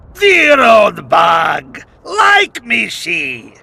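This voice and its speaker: A man shouting in a put-on character voice. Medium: video game. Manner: broken grammar, simple words.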